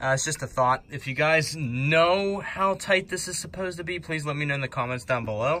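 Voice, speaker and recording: A man with a bright, sharp tone talks with hardly any pauses and ordinary pitch variation. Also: fairly quick pace. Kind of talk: tutorial. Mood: relaxed, amused. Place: garage. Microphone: phone near.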